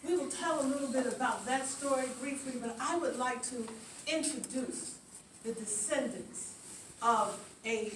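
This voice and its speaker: A woman's high voice at a fairly slow pace with ordinary pitch variation, amid noticeable background noise and audible room echo. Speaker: museum founding director. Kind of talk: ceremony speech. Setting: outdoors. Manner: halting.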